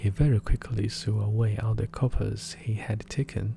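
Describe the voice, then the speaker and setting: A man with a somewhat breathy, dark, mellow voice talks at a fairly slow pace. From China. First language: Chinese. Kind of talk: fairy tale reading.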